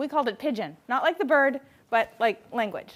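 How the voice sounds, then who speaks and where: On a very clean recording with a silent background, a woman speaks at a moderate pace. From Hawaii, north shore of Oahu. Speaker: writing instructor and author. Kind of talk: public lecture. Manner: casual, conversational with fillers.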